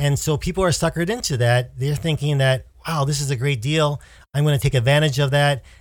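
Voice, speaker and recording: A fairly high-pitched man with an American accent, somewhat breathy and very even in loudness, on a very clean recording with a silent background. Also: ordinary pitch variation, fairly quick pace. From United States. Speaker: podcast co-host. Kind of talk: casual chat. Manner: halting.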